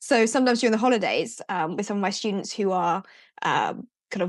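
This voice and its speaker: A woman with a British accent talks very fast at a medium pitch. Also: quiet background. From UK. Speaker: teacher and education business founder. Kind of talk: podcast interview.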